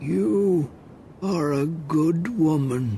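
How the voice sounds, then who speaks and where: Putting on a character voice, a man speaks at a fairly high pitch with lively intonation. Background noise is clearly audible. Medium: read story.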